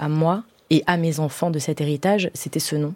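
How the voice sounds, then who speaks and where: A woman with a very deep, low pitch. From Paris suburbs, Iranian family. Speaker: playwright and stage director. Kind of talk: radio interview. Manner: hesitant, many fillers.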